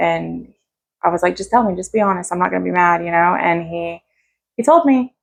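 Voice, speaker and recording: With a western North Carolina accent, a woman speaks at a fairly quick pace. Her pitch is fairly low. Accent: Southern US, western North Carolina. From US South, North Carolina (Asheville). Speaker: recovering addict sharing her story. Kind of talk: interview testimony. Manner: casual, halting with fillers.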